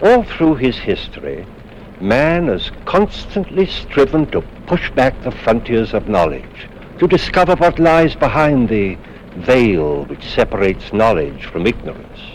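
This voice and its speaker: A man at medium pitch speaks fairly slowly with very wide pitch swings over noticeable background noise. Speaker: actor. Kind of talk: horror anthology host introduction.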